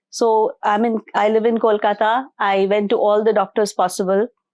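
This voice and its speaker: Her medium-pitched voice carries monotone, flat intonation as this woman speaks. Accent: Indian. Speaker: spiritual healer and motivational speaker. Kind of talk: interview testimony.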